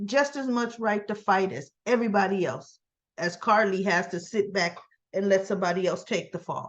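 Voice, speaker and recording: Animated in tone, a woman talks at a moderate pace in a medium pitch with ordinary pitch variation. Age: 60s. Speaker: soap opera recap youtuber. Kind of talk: casual recap monologue.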